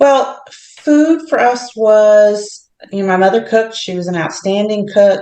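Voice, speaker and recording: The speaker has a plain, everyday voice with ordinary pitch variation. The pace is fairly slow, with hardly any pauses. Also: woman, fairly high pitch for a woman. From US, military family (moved often). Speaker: healthcare executive. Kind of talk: casual interview chat.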